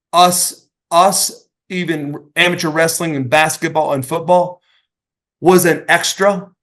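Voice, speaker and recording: With an American accent, a man speaks at a very slow pace in a high voice with fairly even intonation. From Oklahoma, US South. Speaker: retired pro wrestler. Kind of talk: interview storytelling. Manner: repetitive, stammering restarts.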